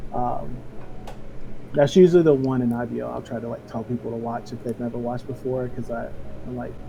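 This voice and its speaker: Soft-spoken, a man talks at a fairly quick pace with ordinary pitch variation. Background noise is noticeable. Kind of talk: casual interview answer. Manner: soft-spoken, chill.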